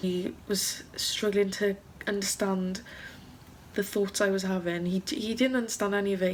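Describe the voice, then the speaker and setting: A woman with a Welsh accent speaks at a medium pitch in a somewhat breathy voice. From South Wales. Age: young. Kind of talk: casual vlog talk to camera.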